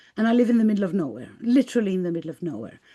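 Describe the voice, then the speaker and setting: In a quiet background, a woman with a Greek accent speaks at a medium pitch with a dark, mellow tone and lively intonation. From Greece. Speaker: spiritual artist and life coach. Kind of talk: interview. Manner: halting.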